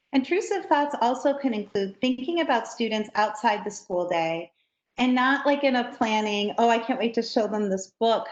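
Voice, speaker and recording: A woman with an unremarkable speaking voice talks at a moderate pace, her pitch fairly high with ordinary pitch variation. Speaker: trainer for educators. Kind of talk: training workshop.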